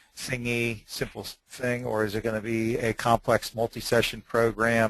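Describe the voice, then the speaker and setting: Talking at a moderate pace, a man has a plain, everyday voice at a medium pitch. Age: 60s. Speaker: website seller, hypnosis program producer. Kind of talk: webinar interview. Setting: webinar.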